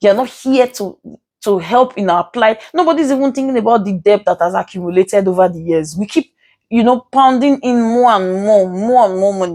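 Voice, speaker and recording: With a Nigerian accent, a woman talks at a fairly quick pace with lively intonation and a dark, mellow tone, on a very clean, dry and close recording with a silent background and no echo. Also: medium pitch for a woman. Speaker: legal commentator. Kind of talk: vlog commentary. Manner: halting, stuttering.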